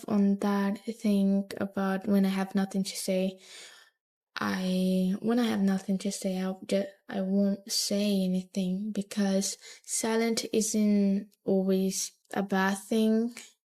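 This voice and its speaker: Quiet and very slow, the voice keeps a monotone, flat intonation in a very clean recording with a silent background. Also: woman. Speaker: vlogger. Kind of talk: personal monologue to camera. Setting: talking to camera alone. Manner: quiet, low volume; halting, hesitant with restarts.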